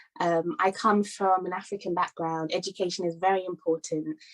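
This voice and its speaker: A woman with a British accent speaks at a moderate pace and medium pitch, the sound dry and close with no echo. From London, England. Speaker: conference speaker. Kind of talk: talk. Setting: virtual summit.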